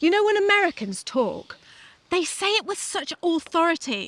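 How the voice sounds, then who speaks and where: A woman speaks in a British accent, her pitch swinging very widely. The sound is dry and close, with no echo. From Britain. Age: 50s. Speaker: podcast host. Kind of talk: casual chat.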